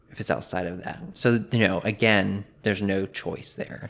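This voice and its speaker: A man speaks in an unremarkable speaking voice at a fairly low pitch. His intonation stays fairly even. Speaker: podcast creator, former Bible college student. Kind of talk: casual interview chat. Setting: in person in host's home.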